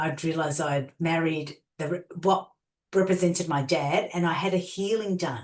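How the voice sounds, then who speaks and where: At a moderate pace, a woman with an Australian accent speaks in a fairly low voice with ordinary pitch variation. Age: 50s. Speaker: transformational coach and healer. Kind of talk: interview storytelling.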